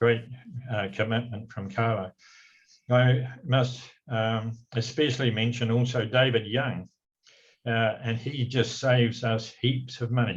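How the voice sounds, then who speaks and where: Speaking with a New Zealand accent, a man talks at a fairly slow pace in a somewhat breathy, monotone, flat voice, leaving long, frequent pauses. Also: medium pitch for a man. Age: 80s+. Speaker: retiring community trust chairman. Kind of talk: farewell speech read from notes. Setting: council meeting. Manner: halting, with frequent fillers.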